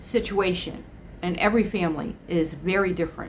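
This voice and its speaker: Here a woman speaks at medium pitch. Her pace is moderate. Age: 60s. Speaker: estranged parent vlogger. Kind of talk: personal vlog monologue. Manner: conversational with frequent fillers and restarts.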